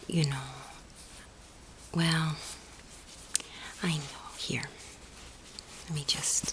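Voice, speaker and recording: A soft-spoken woman with a very deep, low pitch and a gentle tone, flat and monotone, at a very slow pace with long, frequent pauses over noticeable background noise. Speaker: friend doing the listener's makeup (roleplay). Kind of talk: ASMR roleplay, soft spoken talk to the listener. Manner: soft-spoken, gentle, consoling.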